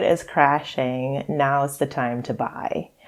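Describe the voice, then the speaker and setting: In a Trinidadian accent, a woman speaks at a very slow pace. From Trinidad and Tobago. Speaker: psychologist and financial therapist. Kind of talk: podcast interview.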